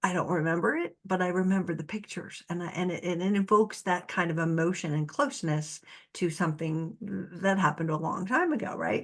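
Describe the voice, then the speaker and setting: A woman's fairly low voice, an unremarkable speaking voice, at a moderate pace with ordinary pitch variation against a quiet background. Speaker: narcissistic abuse recovery coach. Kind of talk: solo talk to camera. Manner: casual, conversational with laughs.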